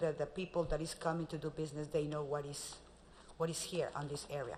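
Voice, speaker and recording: A woman speaks with a Spanish accent. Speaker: magazine publisher sales representative. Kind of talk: sales pitch.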